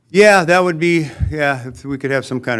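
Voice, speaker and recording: A man at a fairly quick pace. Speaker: waste hauling company owner. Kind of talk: presentation to city council. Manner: casual, hesitant.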